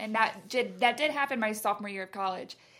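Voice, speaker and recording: A woman with a Southern US accent on a very clean recording with a silent background. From US South, Carrollton, Georgia. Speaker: college student. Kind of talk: casual chat.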